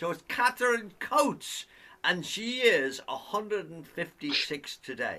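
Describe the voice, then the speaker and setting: With an Irish accent, a man speaks slowly-ish in a high, bright, sharp voice. His pitch swings very widely and his loudness rises and falls a lot. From Ireland. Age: 80s+. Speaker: singer and show host. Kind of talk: casual chat. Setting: video call.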